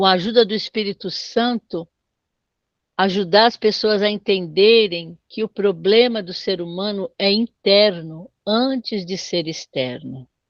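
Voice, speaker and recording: A woman with an unremarkable speaking voice, medium pitch, ordinary pitch variation and a fairly slow pace, in a dry, close sound with no echo. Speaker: bible teacher. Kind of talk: online doctrine class.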